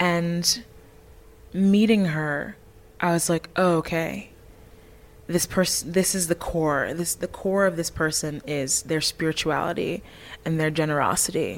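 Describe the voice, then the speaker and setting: At a fairly slow pace, a woman with a fairly low pitch speaks in a fairly even intonation, leaving long, frequent pauses. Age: 20s. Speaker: musical theatre actress. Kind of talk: casual chat. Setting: backstage at a concert venue.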